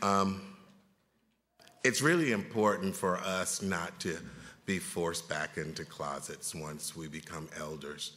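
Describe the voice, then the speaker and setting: A man talks at a very deep, low pitch in a bright, sharp tone, at a fairly slow pace. He leaves long, frequent pauses, and the room echo is audible. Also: ordinary pitch variation, big swings in loudness. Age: 60s. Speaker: panel moderator, federal health official. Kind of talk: conference panel moderation. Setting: conference room with audience.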